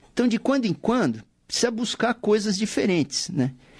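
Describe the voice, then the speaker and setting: The speaker is a man with a high-pitched voice. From São Paulo city, Brazil. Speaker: musician and saxophonist, radio show presenter. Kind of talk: casual radio interview. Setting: radio studio.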